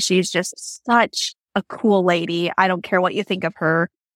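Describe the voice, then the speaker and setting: A woman with an American accent, a plain, everyday voice at medium pitch, and ordinary pitch variation. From Washington State. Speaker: barrel racer. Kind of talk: casual interview chat.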